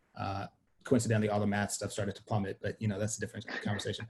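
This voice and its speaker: A somewhat breathy man's voice, fairly low in pitch, with monotone, flat intonation. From Sweden. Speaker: media company co-founder. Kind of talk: interview conversation.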